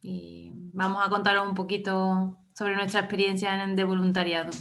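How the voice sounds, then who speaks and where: Her medium pitch holds a monotone, flat intonation as a woman speaks at a moderate pace with audible room echo. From Andalusia, Córdoba province. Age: 20s. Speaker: former volunteer. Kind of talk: interview.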